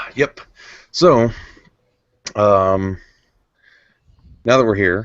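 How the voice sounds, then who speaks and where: In an ordinary speaking voice, a man at a fairly low pitch talks with ordinary pitch variation. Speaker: video podcast host. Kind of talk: casual chat. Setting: recording in his living room.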